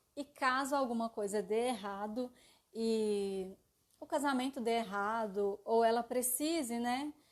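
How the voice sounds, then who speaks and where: Over a quiet background, a woman speaks at a fairly slow pace in an unremarkable speaking voice. Her pitch is fairly high and varies in an ordinary way. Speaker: live stream presenter on psychology and aesthetics. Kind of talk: live stream lecture. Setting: live stream.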